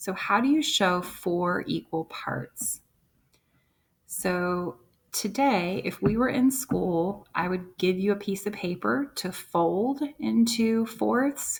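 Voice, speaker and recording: Her voice is somewhat breathy as this woman speaks at a very slow pace. Her intonation is lively. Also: medium pitch for a woman. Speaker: first-grade teacher. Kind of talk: tutorial.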